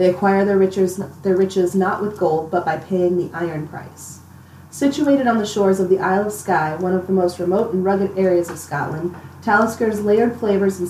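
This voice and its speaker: With an ordinary speaking voice, a woman talks at medium pitch and a fairly quick pace, her intonation fairly even. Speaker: guest taster. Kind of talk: casual tasting chat.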